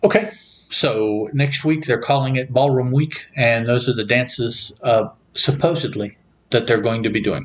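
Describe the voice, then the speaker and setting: A man with an American accent talks at a moderate pace, his medium pitch showing ordinary variation. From US South, southern West Virginia. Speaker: podcast host. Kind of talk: casual chat.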